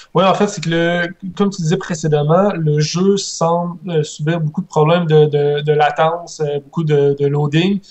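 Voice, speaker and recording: Over noticeable background noise, a man with a high-pitched voice talks at a fairly slow pace in a monotone, flat intonation. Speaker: gaming podcast panelist. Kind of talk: casual panel discussion. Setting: remote call over Skype. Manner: halting, repeats words.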